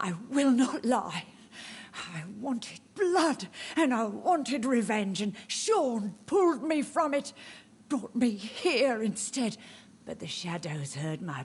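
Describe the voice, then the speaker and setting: A female-sounding put-on character voice sits at a fairly high pitch. It moves at a fairly slow pace. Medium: video game. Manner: cryptic, eerie.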